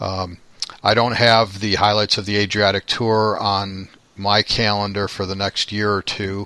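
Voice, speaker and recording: A man talks at a moderate pace with a Midwestern accent. His voice is fairly low in pitch, with a bright, sharp tone. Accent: American Midwest. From Chicago, US Midwest. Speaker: podcast host, travel photographer. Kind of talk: casual interview.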